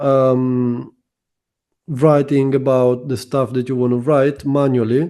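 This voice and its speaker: A man with a non-native accent speaks very slowly at a medium pitch, his dark, mellow tone held in a flat monotone. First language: not English. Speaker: SEO consultant. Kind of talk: interview.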